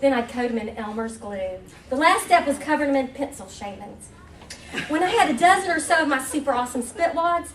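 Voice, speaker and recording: Lively in intonation and fairly quick, the speech carries audible room echo and noticeable background noise. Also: woman, high pitch for a woman. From West Virginia (Huntington). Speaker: humor writer. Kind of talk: reading aloud. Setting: stage with audience.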